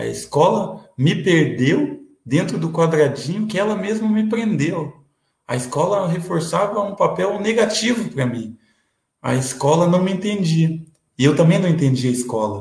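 A man speaks at a fairly slow pace. His high-pitched voice has lively intonation. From Curitiba metro area, Paraná, Brazil. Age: 30s. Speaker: city councillor and lawyer. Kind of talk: interview.

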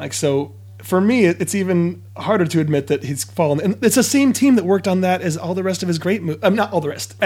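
High-pitched male voice with lively intonation over noticeable background noise. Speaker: podcast guest, comedian. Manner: sarcastic.

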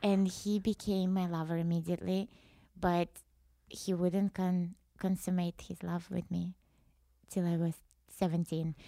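In a Russian accent, a woman speaks at a fairly slow pace with monotone, flat intonation and long, frequent pauses, her sound dry and close with no echo. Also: fairly low pitch for a woman. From Russia, rural wooded area. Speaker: musician, former metal band founder. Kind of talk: casual chat.

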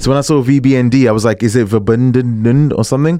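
With a British accent, a man speaks in a dark, mellow tone with ordinary pitch variation. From England. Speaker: radio DJ. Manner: energetic, warm, slangy, hyping each track and thanking listeners.

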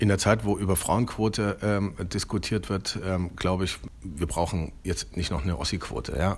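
With vocal fry and ordinary pitch variation, a man speaks at a moderate pace in a very deep, low voice. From eastern Germany, Leipzig. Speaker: magazine editor-in-chief. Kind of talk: interview. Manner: halting, many fillers.

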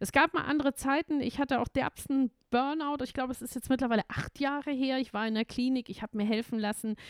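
At a very fast pace and with hardly any pauses, a woman speaks in an animated tone at a high pitch, the sound dry and close with no echo. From Bavaria, Munich. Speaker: music and culture manager, founder of senior initiative. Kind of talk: casual interview.

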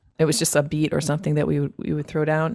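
A woman speaks with a Northeastern US accent. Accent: American (Northeast). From upstate New York, US. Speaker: loop artist and singer. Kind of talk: interview.

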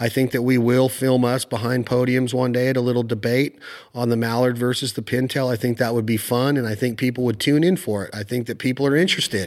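A man rattles along at a very fast pace in a medium-pitched voice. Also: hardly any pauses. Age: 40s. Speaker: podcast host and outdoors TV host. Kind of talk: casual interview. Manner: animated.

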